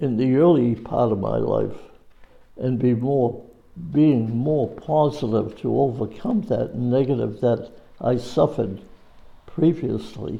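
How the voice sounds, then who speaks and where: Speaking at a very slow pace with long, frequent pauses, a man uses a medium-pitched voice with vocal fry and ordinary pitch variation. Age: 90s. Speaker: war veteran. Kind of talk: oral history interview. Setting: school. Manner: halting.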